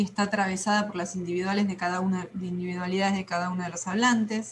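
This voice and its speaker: Medium-pitched female voice, intonation fairly even. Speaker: teacher. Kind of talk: lecture. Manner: fast.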